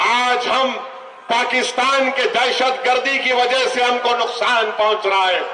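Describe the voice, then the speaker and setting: The voice is raised and projected. Noticeable background noise runs underneath. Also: man. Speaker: politician. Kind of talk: political rally speech. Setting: public meeting, PA system. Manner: forceful, emphatic, rhetorical.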